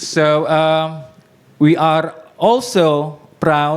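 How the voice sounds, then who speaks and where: A man speaks with a fairly high pitch. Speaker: startup representative. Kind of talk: presentation talk. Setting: meetup with live audience. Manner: halting, many fillers.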